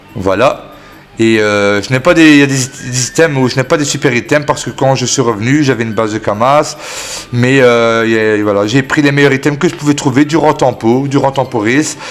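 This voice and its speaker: A medium-pitched man at a moderate pace with ordinary pitch variation, noticeable background noise behind him. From Belgium. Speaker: gaming YouTuber. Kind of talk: gaming tutorial. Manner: hesitant, many fillers.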